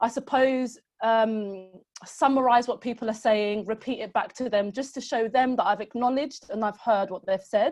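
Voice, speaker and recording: A woman speaks in a normal speaking voice at a moderate pace. Her pitch is fairly high and fairly even, with a quiet background. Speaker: social prescribing manager. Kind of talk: webinar presentation. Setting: online webinar.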